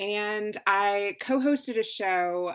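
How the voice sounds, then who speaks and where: With an American accent, a woman talks in an animated tone with lively intonation. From US South, Louisville, Kentucky. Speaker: podcast producer. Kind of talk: interview conversation.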